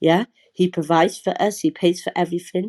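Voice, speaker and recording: A woman speaks at a fairly quick pace with a British accent, her tone dark and mellow. Her intonation is fairly even, and the sound is dry and close with no echo. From UK, Somali heritage. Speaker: charity worker. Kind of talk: heated debate. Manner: halting.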